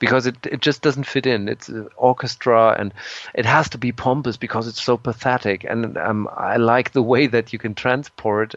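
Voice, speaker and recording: Fairly even intonation in a German accent, with a dry, close sound and no echo. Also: man. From Germany. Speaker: progressive rock musician. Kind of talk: interview. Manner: halting, with repetitions and fillers.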